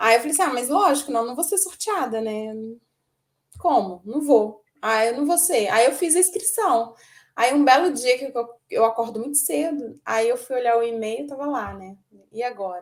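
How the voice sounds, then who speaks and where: A woman speaks in a high pitch at a moderate pace with lively intonation. Her loudness swings widely. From Minas Gerais, Brazil. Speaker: amateur marathon runner. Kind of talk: interview.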